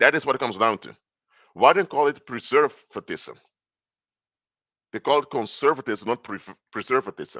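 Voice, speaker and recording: Against a quiet background with a dry, close sound and no echo, a man with a non-native accent speaks at a medium pitch with ordinary variation, big swings in loudness, and long, frequent pauses. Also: moderate pace. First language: not English. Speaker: political commentator and consultant. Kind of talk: live stream lecture. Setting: live stream. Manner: halting, with false starts.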